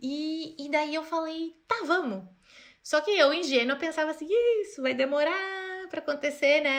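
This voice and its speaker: A woman's high-pitched voice in an animated tone at a moderate pace. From interior of Rio Grande do Sul, Brazil. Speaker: fashion designer. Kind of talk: podcast interview. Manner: casual, animated.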